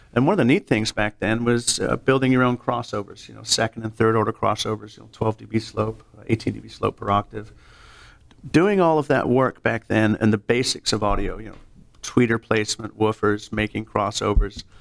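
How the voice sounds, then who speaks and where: A man with an American accent speaks with vocal fry and fairly even intonation, his loudness swinging widely. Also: medium pitch for a man, moderate pace, dry, close sound with no echo. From California. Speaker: audio industry sales engineer. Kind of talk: casual interview.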